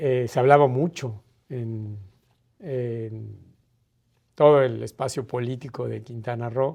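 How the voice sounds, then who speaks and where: A man's dark, mellow, medium-pitched voice at a very slow pace, with fairly even intonation and long, frequent pauses. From Mérida, Yucatán, Mexico. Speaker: ambassador, diplomat. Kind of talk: interview answer. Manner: hesitant, reflective.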